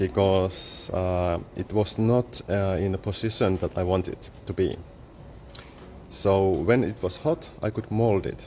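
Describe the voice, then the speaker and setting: In a Finnish accent, a man with a fairly low pitch speaks at a fairly slow pace with lively intonation. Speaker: photographer and exhibition artist. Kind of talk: exhibition guided talk. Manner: halting, with many fillers.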